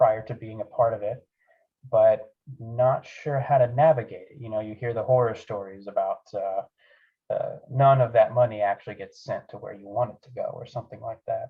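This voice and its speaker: A man speaks at a moderate pace. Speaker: aerospace engineer giving a club talk. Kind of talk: presentation. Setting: club meeting.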